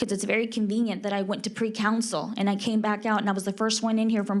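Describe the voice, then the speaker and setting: Talking at a very fast pace, a woman with medium pitch uses monotone, flat intonation while audible room echo surrounds her voice. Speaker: public commenter, Senate candidate. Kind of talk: public comment at council meeting. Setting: city council chamber. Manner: loud.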